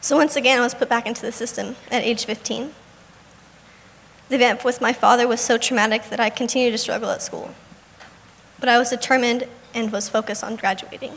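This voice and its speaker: A soft-spoken woman talks very fast at a high pitch, with long, frequent pauses and monotone, flat intonation. Noticeable background noise sits behind her. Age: young. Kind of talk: inspirational speech. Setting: live event stage.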